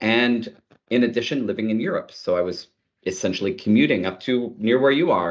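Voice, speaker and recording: A man with a Canadian accent speaks at a fairly quick pace in a plain, everyday voice with ordinary pitch variation. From Canada, Ottawa. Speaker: tech executive. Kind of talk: interview.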